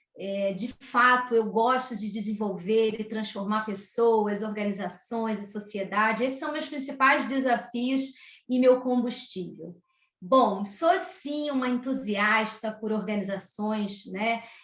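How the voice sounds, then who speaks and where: Speaking at a very slow pace with a Rio de Janeiro accent, a woman with a fairly high pitch uses ordinary pitch variation amid audible room echo. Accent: Rio de Janeiro (carioca). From Brazil, Rio de Janeiro. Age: 40s. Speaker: HR executive. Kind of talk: podcast interview. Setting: home office video call.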